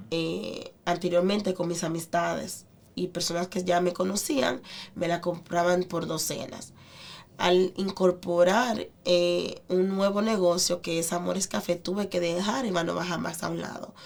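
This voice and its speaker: At a fairly slow pace, a woman speaks in a plain, everyday voice, her pitch fairly low with ordinary variation. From Dominican Republic, San Pedro de Macorís. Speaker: restaurant owner. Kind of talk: interview.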